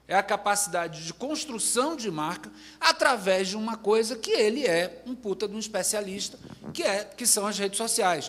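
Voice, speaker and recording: A man's high voice in a Bahian accent, with lively intonation at a moderate pace, over noticeable background noise. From Bahia, Brazil. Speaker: advertising agency executive. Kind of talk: panel discussion.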